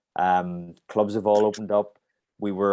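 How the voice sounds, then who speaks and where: A man with a Northern Irish accent speaks at a moderate pace in a monotone, flat intonation. The recording is very clean, with a silent background. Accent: Northern Irish (Belfast). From Northern Ireland, Belfast. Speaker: martial arts instructor. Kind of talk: interview. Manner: halting.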